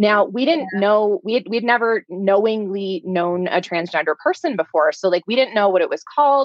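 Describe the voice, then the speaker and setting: A woman's normal speaking voice at medium pitch, with lively intonation, a moderate pace and hardly any pauses. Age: 30s. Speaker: life coach and parent. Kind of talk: podcast interview.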